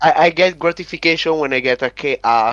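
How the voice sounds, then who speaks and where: The delivery is fairly slow. The sound is dry and close, with no echo. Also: man. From Italy. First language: Italian. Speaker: competitive gamer. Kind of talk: interview. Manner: halting.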